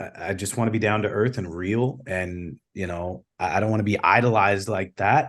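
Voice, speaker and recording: Against a quiet background, a man with an American accent and an unremarkable speaking voice talks at a moderate pace. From Chicago South Side, US. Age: 30s. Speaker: singer-songwriter. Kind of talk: interview.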